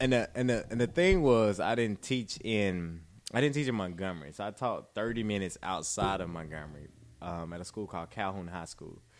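Fairly quick and lively, a man with an Alabama accent speaks at a fairly low pitch with big swings in loudness. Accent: Southern US (Alabama). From US South, rural Alabama. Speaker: teacher. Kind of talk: casual chat.

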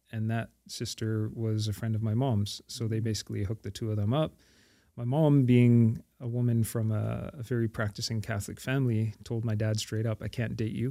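Someone with a Montreal accent speaks at a moderate pace in a dark, mellow tone with fairly even intonation. The recording is very clean, with a silent background. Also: man, medium pitch for a man. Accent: Canadian English (Montreal). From Montreal, Quebec, Canada. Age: 40s. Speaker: imam and prison chaplain. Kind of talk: casual chat.

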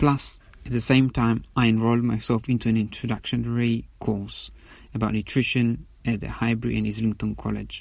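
A man at a moderate pace with a non-native accent, on a very clean recording with a silent background. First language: not English. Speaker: podcast host. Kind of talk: solo monologue. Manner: halting, many fillers.

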